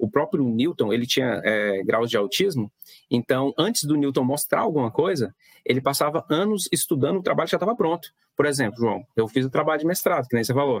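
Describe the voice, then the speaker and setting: A man at a fairly quick pace, in a dry, close sound with no echo and very even loudness. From Mato Grosso interior, Brazil. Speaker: physics teacher. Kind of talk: casual interview. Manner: halting, many fillers; patient explaining.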